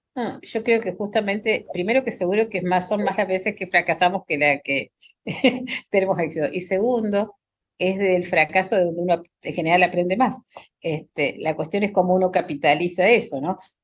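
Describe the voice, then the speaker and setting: Here a woman uses a normal speaking voice, medium in pitch, with ordinary pitch variation and a moderate pace. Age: 60s. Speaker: pediatric hematologist. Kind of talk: panel discussion.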